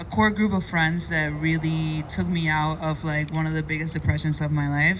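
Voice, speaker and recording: With a Spanish accent, a woman speaks in a very deep, low pitch at a moderate pace with fairly even intonation and hardly any pauses, amid noticeable background noise and audible room echo. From Cuba. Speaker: content creator. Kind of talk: personal testimony at a meetup panel.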